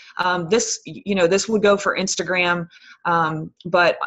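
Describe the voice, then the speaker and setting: This is a woman with an ordinary speaking voice at a fairly low pitch. She talks at a moderate pace with fairly even intonation. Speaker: fitness coach. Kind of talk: team conference call talk. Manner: filler-heavy, um and you know.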